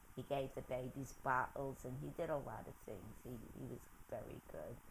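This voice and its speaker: Speaking with an American accent, a woman uses a very deep, low pitch and a somewhat breathy voice. Her pace is moderate and her intonation fairly even. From New York City, the Bronx. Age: 90s. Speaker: interviewee recounting her life. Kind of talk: oral history interview. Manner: halting.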